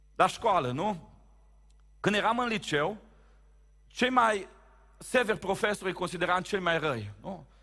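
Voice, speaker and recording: Bright and sharp in tone, a man speaks at a high pitch in a raised, projected voice with an animated tone. His pitch varies in an ordinary way, broken by long, frequent pauses. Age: 30s. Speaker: pastor. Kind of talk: sermon. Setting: church.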